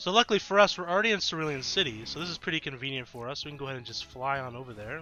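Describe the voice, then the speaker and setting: A man talks at a very fast pace with music playing behind him. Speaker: gaming YouTuber. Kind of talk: gameplay commentary. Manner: casual, conversational with fillers.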